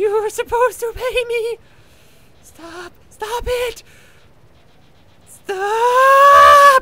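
In a put-on character voice, a man speaks at an extremely high pitch and a very slow pace, leaving long, frequent pauses. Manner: furious, screaming, mocking.

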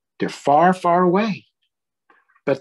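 A man speaks at a medium pitch with a slightly husky edge.

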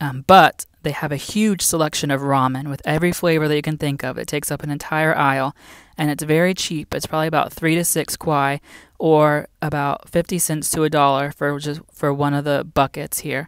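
A woman speaks at a fairly quick pace with a very deep, low pitch and monotone, flat intonation. The sound is dry with no echo, and the background is quiet. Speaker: teacher living abroad. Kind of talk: casual vlog chat. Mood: relaxed, friendly. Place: shop. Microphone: phone near.

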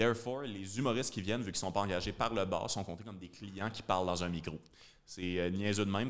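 A man in a Quebec accent, very fast pace, fairly low pitch and fairly even intonation. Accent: Québécois French. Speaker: comedian and podcast host; comedian, podcast host. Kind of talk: casual chat. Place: studio. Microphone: studio mic.

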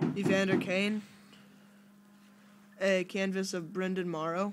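Music is in the background as a man talks. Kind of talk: casual vlog chat. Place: home room. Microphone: phone near.

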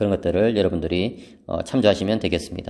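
A man speaks quietly in a fairly low, dark and mellow voice with a calm tone. The recording is very clean, with a silent background. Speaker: theology professor. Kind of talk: lecture. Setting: empty seminary hall. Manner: calm, subdued.

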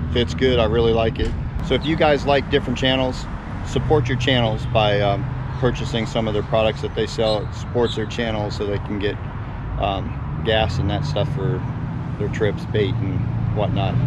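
A man's voice with ordinary pitch variation, noticeable background noise, and a dry sound with no echo. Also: moderate pace. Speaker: fishing vlogger. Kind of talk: casual vlog chat. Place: street. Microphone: phone near.

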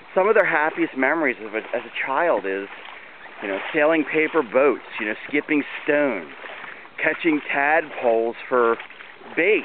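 Someone with an American accent speaks at a moderate pace with lively intonation and long, frequent pauses. The sound is dry with no echo, and there is noticeable background noise. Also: man, fairly high pitch for a man. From US, Maryland (Baltimore area). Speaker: community volunteer organizer. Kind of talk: walking video narration. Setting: outdoors. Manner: casual, with fillers. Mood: enthusiastic, proud. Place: waterside. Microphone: phone near.

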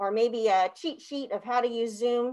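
A woman talks at a moderate pace in a high voice against a quiet background. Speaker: webinar presenter. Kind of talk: presentation talk. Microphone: video call.

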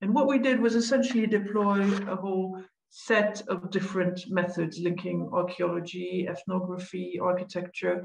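With ordinary pitch variation, this woman talks at a moderate pace in a somewhat breathy, medium-pitched voice. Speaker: researcher. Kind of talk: academic presentation. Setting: video call.

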